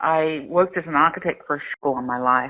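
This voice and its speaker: Delivered at a fairly quick pace, the speech has fairly even intonation and an Australian accent. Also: woman. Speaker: crowdfunding platform founder. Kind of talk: interview. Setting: phone call.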